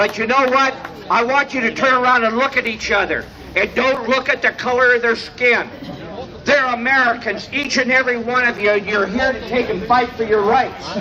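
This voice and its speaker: An extremely high-pitched male voice with fairly even intonation over noticeable background noise. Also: moderate pace. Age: 70s. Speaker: rally speaker. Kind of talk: protest speech. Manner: halting.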